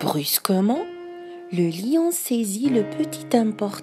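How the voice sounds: The recording presents a natural reading voice.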